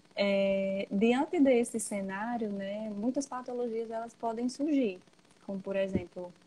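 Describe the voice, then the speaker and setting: Soft-spoken and somewhat breathy, a woman with a fairly high pitch and a dark, mellow tone talks at a very slow pace. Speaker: psychologist. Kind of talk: interview. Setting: Instagram live video call.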